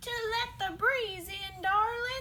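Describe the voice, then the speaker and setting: A woman speaks in a put-on character voice with an extremely high pitch. Background noise is clearly heard. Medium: read story. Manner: sly, wheedling.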